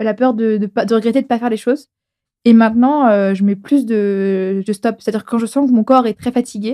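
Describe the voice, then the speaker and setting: A woman's fairly high, dark and mellow voice at a fairly quick pace, dry and close with no echo. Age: 20s. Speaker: podcast guest. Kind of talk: casual chat. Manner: fast; animated.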